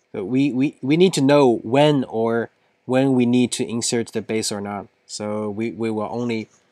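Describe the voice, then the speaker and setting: A man with a non-native accent at a medium pitch, with ordinary pitch variation and a moderate pace. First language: not English. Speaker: software engineer solving coding problems. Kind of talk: coding tutorial. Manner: halting, thinking aloud.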